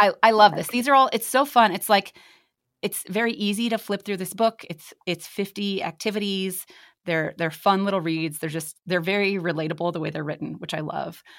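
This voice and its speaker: In a very clean recording with a silent background, a woman has a normal speaking voice at medium pitch with ordinary pitch variation. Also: moderate pace. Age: 30s. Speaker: podcast host and writer. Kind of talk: casual chat.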